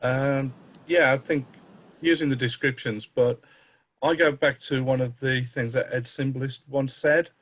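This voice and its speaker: A man's medium-pitched, somewhat breathy voice with fairly even intonation and a fairly slow pace. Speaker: game designer. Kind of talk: panel discussion.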